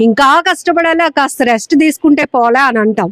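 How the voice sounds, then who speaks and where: The recording is dry and close with no echo, capturing a woman with a high pitch and ordinary pitch variation. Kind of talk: interview host talk. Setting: outdoors. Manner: upbeat.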